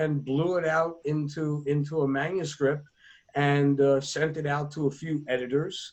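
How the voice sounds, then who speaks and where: A fairly high-pitched man's voice with an American accent at a fairly slow pace. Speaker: author. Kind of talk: podcast interview.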